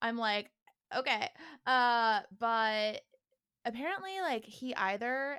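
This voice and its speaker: In an American accent, a woman with a plain, everyday voice speaks at a fairly high pitch. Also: dry, close sound with no echo. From Northern California. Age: 20s. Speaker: musician. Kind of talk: casual interview.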